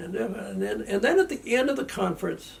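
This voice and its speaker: At a moderate pace, a man talks with an Upper Midwest accent. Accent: Upper Midwest American. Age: 70s. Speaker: interviewee recalling family history. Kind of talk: oral history interview. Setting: family home. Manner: halting, repeats words.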